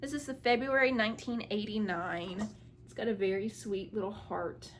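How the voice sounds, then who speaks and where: Using an ordinary speaking voice, a woman with a fairly high pitch speaks at a moderate pace with ordinary pitch variation and big swings in loudness. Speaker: crafting video creator. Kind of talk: casual show-and-tell haul video. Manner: casual, filler-heavy.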